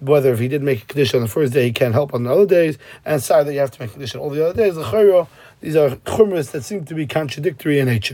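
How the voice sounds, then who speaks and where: A man talks at a very fast pace with an American accent and a fairly high pitch. His tone is dark and mellow, and his intonation is lively. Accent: American Yeshivish English. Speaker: Talmud teacher. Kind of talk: lecture.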